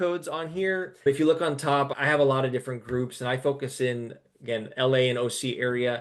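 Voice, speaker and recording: The clip has a man with an American accent, an ordinary speaking voice and ordinary pitch variation. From Texas. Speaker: realtor, team lead. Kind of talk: webinar presentation.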